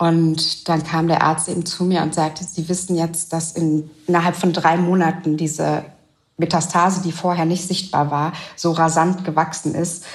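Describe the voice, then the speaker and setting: Her voice is fairly low and somewhat breathy. The woman keeps a moderate pace with monotone, flat intonation. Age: 30s. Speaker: widowed single mother. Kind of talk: interview. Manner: hesitant, with frequent fillers.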